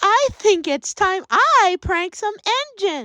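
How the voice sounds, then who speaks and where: A woman puts on a character voice at an extremely high pitch. Her pace is fairly slow. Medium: audio drama.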